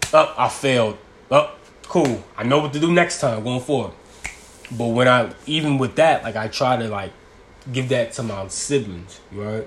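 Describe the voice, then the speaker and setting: Over noticeable background noise, a man talks at a moderate pace in an animated tone, his loudness swinging widely while his pitch varies in an ordinary way. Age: 20s. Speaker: podcaster. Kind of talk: casual monologue. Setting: at home.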